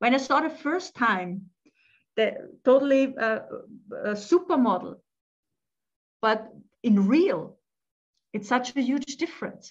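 Speaking in an Austrian accent, a woman uses a high pitch and a fairly slow pace, with long, frequent pauses. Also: lively intonation. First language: German. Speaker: family therapist and life coach, author. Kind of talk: casual interview chat.

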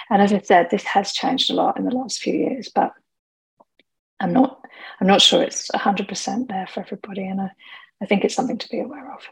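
Somewhat breathy, a woman talks at a fairly quick pace at medium pitch with ordinary pitch variation. She leaves long, frequent pauses. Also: big swings in loudness. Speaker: alcohol coach and podcaster. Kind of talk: webinar-style presentation. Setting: webinar, recorded at home. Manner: chatty, informal.

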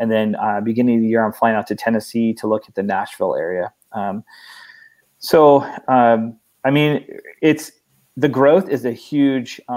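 A medium-pitched man speaks at a moderate pace with ordinary pitch variation, big swings in loudness, and long, frequent pauses. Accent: Pacific Northwest. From Oregon, US. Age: 30s. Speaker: nonprofit founder. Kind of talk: interview.

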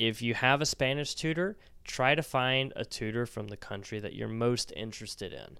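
A man's medium-pitched voice, an ordinary speaking voice, at a moderate pace on a very clean recording with a silent background. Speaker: Spanish teacher podcaster. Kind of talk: educational monologue with promo.

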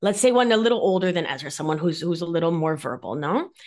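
The speaker has an Argentine accent and an animated tone. The pitch swings very widely. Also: woman. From Argentina, Mar del Plata. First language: Spanish. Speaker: nurse practitioner and somatic life coach. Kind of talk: interview conversation.

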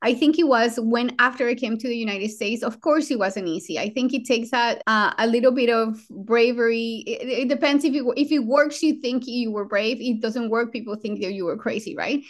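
A woman's high-pitched voice with a Colombian accent, fairly quick in pace, hardly any pauses, and ordinary pitch variation. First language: Spanish. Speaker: trauma surgeon and program director. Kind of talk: interview conversation.

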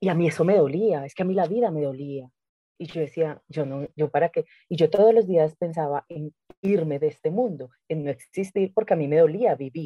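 Speaking at a moderate pace, a woman with a very deep, low pitch shows ordinary pitch variation. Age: 30s. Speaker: spiritual coach. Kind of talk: casual interview chat.

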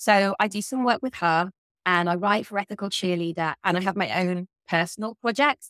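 In a southern English accent, a woman at medium pitch talks at a moderate pace with ordinary pitch variation, in a dry, close sound with no echo. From southern England. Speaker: guest, ethical living advocate. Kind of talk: casual interview chat.

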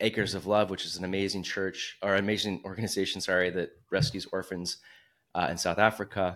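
A man with an ordinary speaking voice talks at a fairly quick pace, his fairly low pitch following fairly even intonation, in a very clean recording with a silent background. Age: 40s. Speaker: entrepreneur. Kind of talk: casual chat.

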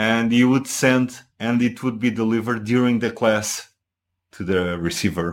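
With a Portuguese accent, the speaker talks at a moderate pace in fairly even intonation on a very clean recording with a silent background. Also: man, medium pitch for a man. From Portugal. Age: 40s. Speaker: husband and guest. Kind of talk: casual chat, interview. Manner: halting, hesitant with fillers.

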